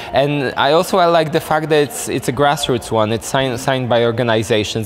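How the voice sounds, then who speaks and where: A fairly quick pace over music in the background. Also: man. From Poland. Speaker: NGO director. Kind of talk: interview. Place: hall.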